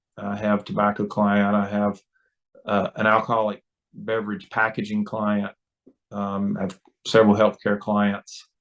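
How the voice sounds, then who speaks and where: In a North Carolina accent, the speaker talks at a moderate pace with monotone, flat intonation. Long pauses come often. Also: man, fairly low pitch for a man. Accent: Southern US (North Carolina). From North Carolina, rural. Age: 60s. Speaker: lobbyist. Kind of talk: interview. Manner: halting, many fillers.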